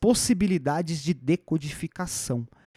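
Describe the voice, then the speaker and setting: Against a silent background in a very clean recording, a man with a dark, mellow tone and lively intonation speaks at a fairly slow pace, the sound dry and close with no echo. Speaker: podcast host, educator. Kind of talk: solo educational podcast monologue. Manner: casual, conversational.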